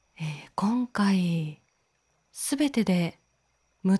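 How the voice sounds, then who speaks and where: Somewhat breathy with a dark, mellow tone, the voice sounds dry and close with no echo against a silent background on a very clean recording. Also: woman. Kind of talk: introduction to camera. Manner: soft-spoken, slow.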